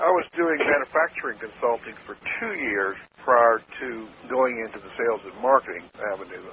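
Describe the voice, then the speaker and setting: A man with a medium pitch talks at a fairly quick pace with lively intonation and big swings in loudness, against noticeable background noise. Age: 70s. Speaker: marketing consultant. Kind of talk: interview answer. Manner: straight-talking.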